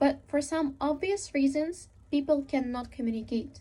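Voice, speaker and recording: A woman with a Russian accent speaks in a dark, mellow tone. Her pace is moderate and her pitch varies in an ordinary way. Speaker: speaker. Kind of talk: talk.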